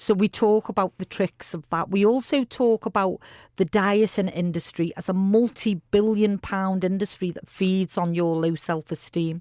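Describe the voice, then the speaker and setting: Here is a woman with an ordinary speaking voice. She speaks at a medium pitch and a moderate pace. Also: fairly even intonation. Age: 50s. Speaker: charity founder. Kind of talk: radio interview. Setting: radio studio.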